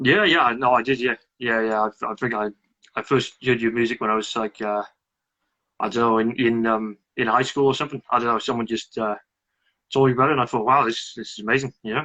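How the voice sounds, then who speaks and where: Against a quiet background, a man with a bright, sharp tone talks at a very fast pace with fairly even intonation. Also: medium pitch for a man, dry, close sound with no echo. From Wales. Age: 20s. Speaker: fan. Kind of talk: casual chat. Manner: halting.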